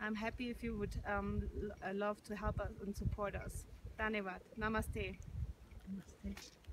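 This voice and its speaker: A woman talks at a fairly slow pace in monotone, flat intonation. The sound is dry with no echo, though noticeable background noise comes through. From Germany. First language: German. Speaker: yoga and meditation teacher. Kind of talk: testimony and appeal to camera. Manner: hesitant, with frequent fillers. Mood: calm, warm, grateful. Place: open country. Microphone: phone near.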